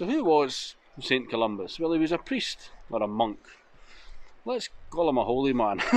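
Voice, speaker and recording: Dry, echo-free male voice. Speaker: motorcycle travel vlogger. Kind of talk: casual vlog chat. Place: open country. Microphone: phone near.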